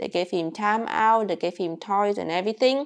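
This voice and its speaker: Quiet background behind a woman with a Vietnamese accent. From rural Vietnam. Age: 20s. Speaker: YouTuber. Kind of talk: casual vlog storytelling. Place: home room. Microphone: lapel.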